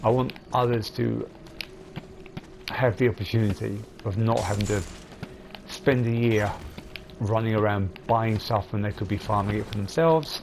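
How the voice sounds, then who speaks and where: Noticeable background noise sits behind a man's fairly low voice. His intonation stays fairly even. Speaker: gaming video creator. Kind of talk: gameplay commentary tutorial.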